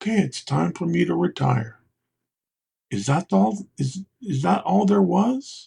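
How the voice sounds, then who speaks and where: Through a dry, close sound with no echo, a man with a fairly high pitch, a dark, mellow tone, and vocal fry speaks at a fairly slow pace with very wide pitch swings. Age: 60s. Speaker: resilience coach, speaker and magician. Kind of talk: interview podcast.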